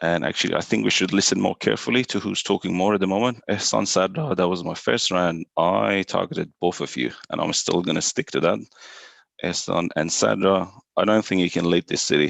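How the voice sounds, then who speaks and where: Lively intonation and vocal fry mark this voice at a fairly quick pace. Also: man, very deep, low pitch for a man. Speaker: online mafia game player. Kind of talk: game discussion.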